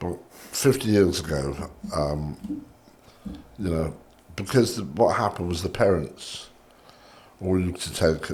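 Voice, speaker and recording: Somewhat breathy and very deep in pitch, a man speaks at a fairly slow pace with lively intonation and long, frequent pauses. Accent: southern English. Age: 60s. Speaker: cigar shop owner. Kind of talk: casual chat.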